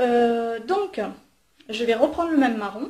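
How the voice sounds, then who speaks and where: A dark, mellow tone with lively intonation. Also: woman. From southern France, Marseille. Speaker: beauty vlogger. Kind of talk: makeup tutorial. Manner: hesitant, many fillers.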